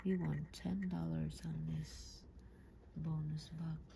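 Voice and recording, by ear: A woman speaks slowly in a low pitch with little pitch movement, vocal fry, and a dark, mellow tone.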